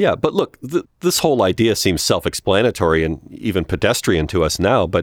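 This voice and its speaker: With an American accent and vocal fry, a man's pitch swings very widely in a dry, close sound with no echo. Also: very clean recording, silent background. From United States. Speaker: comedy podcast co-host, television writer.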